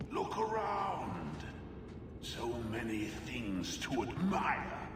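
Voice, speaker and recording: A man in a put-on character voice speaks very slowly, with clear echo and loud background noise. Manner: eerie, inviting.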